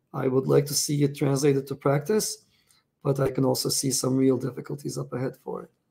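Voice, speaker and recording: A man talks at a fairly quick pace with medium pitch. His voice has vocal fry and a dark, mellow tone. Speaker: crypto founder and show host. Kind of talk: solo weekly news commentary. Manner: casual, rambling, animated.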